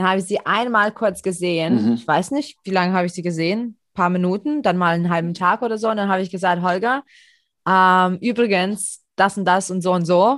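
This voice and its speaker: Over a quiet background, a woman talks at a fairly quick pace in an unremarkable speaking voice with ordinary pitch variation. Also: medium pitch for a woman. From Europe. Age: 30s. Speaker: podcast host. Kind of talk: casual chat.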